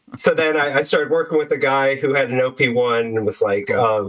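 A man with an American accent speaks in a plain, everyday voice at medium pitch and a moderate pace, his intonation lively. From US, San Francisco Bay Area. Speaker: electronic musician. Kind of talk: casual interview chat. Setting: remote call.

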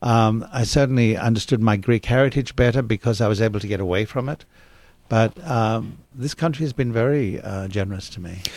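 A man talks with an Australian accent at a fairly quick pace. His medium pitch shows ordinary pitch variation. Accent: British-sounding Australian. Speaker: actor. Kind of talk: interview. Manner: storytelling.

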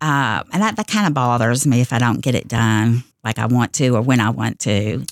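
A woman with a Kentucky accent speaks at a very deep, low pitch with vocal fry, ordinary pitch variation and very even loudness, at a moderate pace with hardly any pauses. The sound is dry and close with no echo, on a very clean recording with a silent background. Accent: western Kentucky Southern US. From Kentucky, Owensboro area. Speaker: college administrative assistant. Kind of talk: radio interview.

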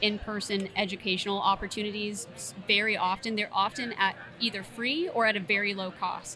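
Speaking at a moderate pace with an American accent, a woman has an unremarkable speaking voice at medium pitch with fairly even intonation. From Tallahassee, Florida. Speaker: plant health care manager. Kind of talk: interview conversation.

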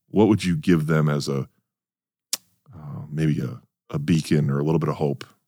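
At a moderate pace, a man with a very deep, low pitch and a dark, mellow tone speaks with vocal fry and ordinary pitch variation, taking long, frequent pauses. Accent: Upper Midwest. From North Dakota, US. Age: 40s. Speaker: podcast host. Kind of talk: casual interview. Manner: halting, many repetitions.

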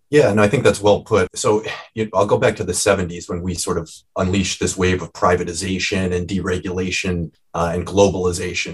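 This man's voice is very deep and low, with a Midwestern American accent. It sounds somewhat breathy. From US Midwest, Cleveland, Ohio. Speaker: medical anthropologist and author. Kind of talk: interview.

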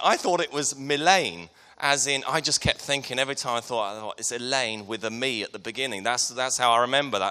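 A man talks at a fairly quick pace with a southern English accent. His tone is bright and sharp. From Hertfordshire, England. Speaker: preacher. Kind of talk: sermon. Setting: church.

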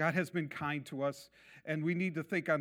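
Ordinary pitch variation in an unremarkable speaking voice at a medium tempo, recorded very cleanly against total silence. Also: man. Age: 60s. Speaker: messianic congregation preacher. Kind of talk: sermon.

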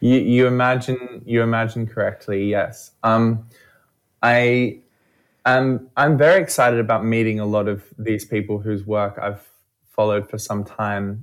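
In a very clean recording with a silent background, a man with an Australian accent speaks at a medium pitch and a fairly slow pace, his intonation fairly even. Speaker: event organiser. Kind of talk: radio interview. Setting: studio.

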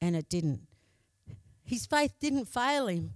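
A woman with an Australian accent and a fairly high pitch speaks at a fairly slow pace with lively intonation, in a dry, close sound with no echo. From Australia, Broken Hill. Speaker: lay preacher. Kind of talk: sermon. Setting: church.

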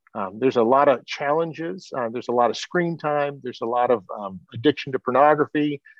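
A man with a normal speaking voice, fairly high pitch, ordinary pitch variation and a moderate pace. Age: 50s. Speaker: podcast host. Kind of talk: interview conversation. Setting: video call.

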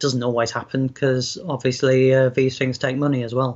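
A man speaks at a medium pitch. He has a South Yorkshire accent. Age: 40s. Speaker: fantasy author. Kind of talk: interview.

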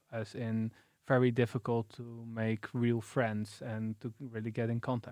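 With a Dutch accent, a man talks fairly slowly at a medium pitch in a flat monotone, captured in a very clean, dry, close recording with no echo and a silent background. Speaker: podcast co-host, PhD researcher. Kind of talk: casual chat.

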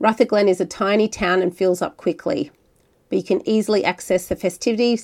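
Speaking in an Australian accent, a woman keeps her intonation fairly even. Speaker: podcast host. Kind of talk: podcast narration and interview. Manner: friendly, conversational.

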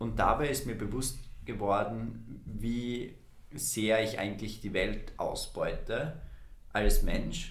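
A man at a very slow pace, with audible room echo. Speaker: youth climate podcast co-host, environmental volunteer. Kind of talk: casual podcast conversation.

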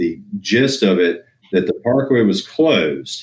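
A man with an American accent and an ordinary speaking voice talks at a fairly slow pace with lively intonation. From US Northeast (Pennsylvania, New England). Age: 40s. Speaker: endurance athlete and small business owner. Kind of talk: casual interview.

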